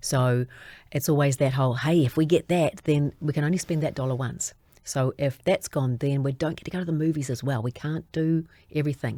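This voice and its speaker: In a very clean recording with a silent background, a woman speaks fairly quickly in a very deep, low pitch, her dark, mellow tone kept to fairly even intonation. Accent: New Zealand. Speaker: children's TV presenter. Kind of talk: interview answer.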